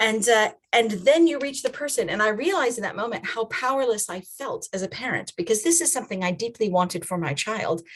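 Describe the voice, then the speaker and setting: A woman with an American accent speaks at a fairly quick pace with hardly any pauses. Her pitch is fairly high and swings very widely. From USA. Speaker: children's and family ministry trainer. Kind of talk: online training talk. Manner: conversational.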